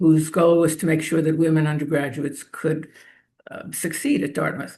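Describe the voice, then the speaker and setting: In a New York accent, a woman with a very deep, low pitch and a somewhat breathy voice speaks at a moderate pace. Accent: New York American. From New York City area, US. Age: 70s. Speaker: feminist activist. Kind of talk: interview.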